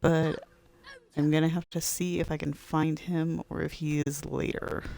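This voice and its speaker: A woman's very deep, low voice, monotone and flat, at a fairly slow pace over noticeable background noise. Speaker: gaming streamer. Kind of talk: let's play commentary. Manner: casual.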